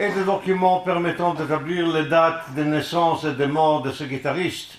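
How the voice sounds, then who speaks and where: Amid noticeable background noise and audible room echo, a man with a non-native accent speaks very slowly in a high voice with ordinary pitch variation. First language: not French (speaking French). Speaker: musicologist, lecturer. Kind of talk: lecture. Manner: halting.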